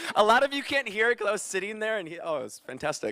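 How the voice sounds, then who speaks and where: A man with an American accent uses a raised, projected voice that is high-pitched, energetic, bright and sharp, with lively intonation. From Chicago. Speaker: radio DJ. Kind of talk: career talk to students. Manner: loud; casual, energetic.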